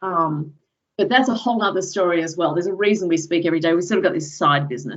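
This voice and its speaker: In an American accent, a woman talks at a very fast pace. Her pitch is fairly low, with ordinary pitch variation. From Australia, Sydney southern suburbs. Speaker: professor. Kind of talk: lecture. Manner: casual, with many fillers.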